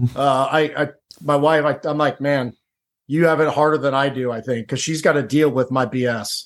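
This man speaks with a Midwestern American accent at a fairly high pitch. His intonation is fairly even and his pace moderate. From Ohio, Cincinnati. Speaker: former Navy SEAL and author. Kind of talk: podcast interview.

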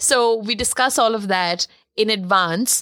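A woman speaks at a fairly slow pace with fairly even intonation. The recording is very clean with a silent background. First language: not English. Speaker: podcast co-host, photographer. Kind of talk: casual chat.

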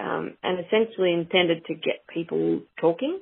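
A woman speaks with an Australian accent at a moderate pace. Her pitch is fairly low. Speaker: cattle breeder. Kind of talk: interview.

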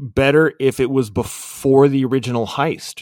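Here a man uses a normal speaking voice at a fairly high pitch and moderate pace. The sound is dry and close, with no echo. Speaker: podcast co-host. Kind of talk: casual banter, movie discussion.

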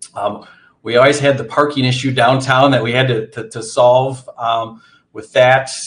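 A man talks at a moderate pace in a monotone, flat intonation, sounding somewhat breathy. His loudness swings widely from moment to moment. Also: medium pitch for a man. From central Wisconsin, US. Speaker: nonprofit CEO. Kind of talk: interview.

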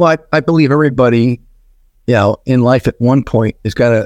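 In a very clean recording with a silent background and a dry, close sound with no echo, a man with a plain, everyday voice of medium pitch talks at a fairly quick pace with ordinary pitch variation. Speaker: business executive and author. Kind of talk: interview.

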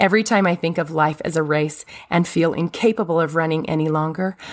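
On a very clean recording with a silent background, a woman speaks in a normal speaking voice. Her pitch is fairly low, with ordinary pitch variation, at a moderate pace. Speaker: religious podcast host. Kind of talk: devotional monologue.

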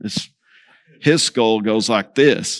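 A man talks with a Texan accent. The recording is very clean, with a silent background. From Texas Panhandle. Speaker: preacher. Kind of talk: sermon.

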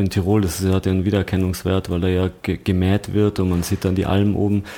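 Fairly low pitch from a man, dark and mellow in tone, with fairly even intonation at a moderate pace, on a very clean recording with a silent background. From Austria, Tyrol. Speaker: fashion creative director and buyer. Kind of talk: casual interview chat. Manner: hesitant, many fillers.

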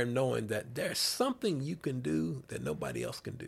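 Here is a man with a Southern US accent. He talks at a moderate pace. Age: 50s. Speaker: sports ministry director and pastor. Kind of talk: casual interview chat.

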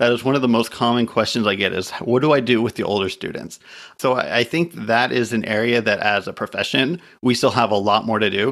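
A man talks at a medium pitch with ordinary pitch variation and a fairly quick pace. It is a plain, everyday voice on a very clean recording with a silent background. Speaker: podcast host. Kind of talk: casual interview chat.

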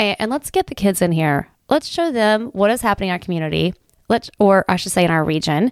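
The intonation is lively. The recording is very clean, with a silent background and a dry, close sound with no echo. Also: woman. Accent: Appalachian. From Southern Ohio, Appalachia. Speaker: community volunteer and former teacher. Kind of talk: casual interview. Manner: halting, many fillers and repeats.

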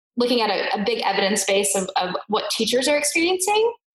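In an American accent, a woman talks at a fairly quick pace with audible room echo. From US. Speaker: education research company CEO, former teacher. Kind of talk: interview conversation.

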